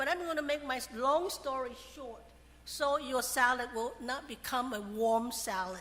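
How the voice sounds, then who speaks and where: This woman's voice is high-pitched with a bright, sharp tone. She talks at a moderate pace with ordinary pitch variation. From Taiwan. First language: Chinese (Mandarin/Hakka). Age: 70s. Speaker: college professor. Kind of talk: speech at event.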